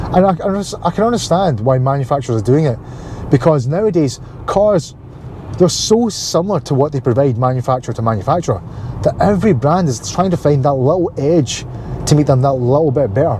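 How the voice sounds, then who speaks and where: A man with a Glasgow accent, fairly high-pitched, at a fairly quick pace with lively intonation, over noticeable background noise. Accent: Scottish (Glaswegian). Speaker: car vlogger. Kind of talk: casual vlog talk. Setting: in a car.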